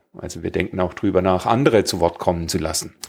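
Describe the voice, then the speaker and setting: Very fast speech comes through on a very clean recording with a silent background. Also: man. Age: 50s. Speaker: podcast host, square dance caller. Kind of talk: casual chat.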